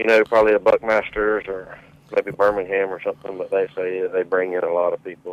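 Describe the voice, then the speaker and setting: In a dry, close sound with no echo, a man with a Southern accent talks at a fairly quick pace. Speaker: caller. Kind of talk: casual chat. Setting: phone call.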